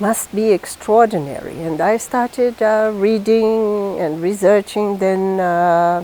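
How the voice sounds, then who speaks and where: A woman's medium-pitched voice with a dark, mellow tone, fairly even intonation, a very slow pace and hardly any pauses. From northeast Brazil. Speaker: diplomat. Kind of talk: interview.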